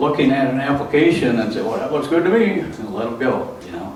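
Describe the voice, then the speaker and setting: The speaker has an American accent. The recording has audible room echo and noticeable background noise. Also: man. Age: 60s. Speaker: meeting organizer. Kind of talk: public meeting address. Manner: halting, many fillers.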